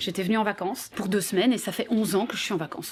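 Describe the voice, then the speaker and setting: A woman talks at a very fast pace with a strong Belgian accent. Noticeable background noise can be heard. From Belgium. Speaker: radio host. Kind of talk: interview. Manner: casual, hesitant fillers.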